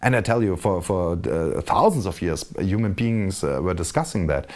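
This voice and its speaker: A man with a German accent uses ordinary pitch variation in a very clean recording with a silent background. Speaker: video blogger. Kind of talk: casual monologue. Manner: halting, many repetitions.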